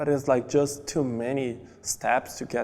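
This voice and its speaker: The man talks very slowly. His delivery is monotone, with flat intonation. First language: Portuguese. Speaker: immigrant, marketing coordinator. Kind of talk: documentary interview.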